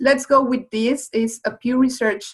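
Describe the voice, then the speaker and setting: In a Spanish accent, a woman speaks at a fairly slow pace. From Mexico. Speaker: webinar presenter. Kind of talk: webinar presentation. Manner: halting.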